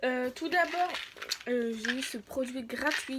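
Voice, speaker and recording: A woman speaks in a high voice at a very slow pace. Noticeable background noise sits behind her. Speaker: YouTuber reviewing free samples. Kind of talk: casual vlog. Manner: halting, many fillers.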